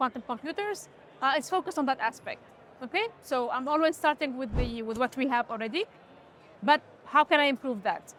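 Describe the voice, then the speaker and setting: Lively intonation marks this woman's speech. Her pitch is high. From Tunisia. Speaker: quantum computing researcher and startup founder. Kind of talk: interview. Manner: halting, many fillers and restarts.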